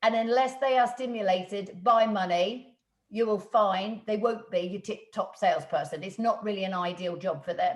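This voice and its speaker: Somewhat breathy, a fairly high-pitched woman talks at a moderate pace with lively intonation. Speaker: business coach and trainer. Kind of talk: webinar talk.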